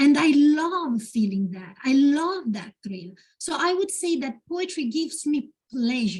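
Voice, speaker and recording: At a fairly slow pace, a woman with a high voice makes very wide pitch swings and big swings in loudness. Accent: Italian. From Italy. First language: Italian. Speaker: poet. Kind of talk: Q&A at a literary event. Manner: halting, with many fillers.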